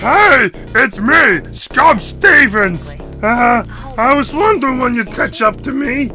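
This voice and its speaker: A put-on character voice, fairly high in pitch and fairly slow in pace, with clear music in the background. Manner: acted, playful.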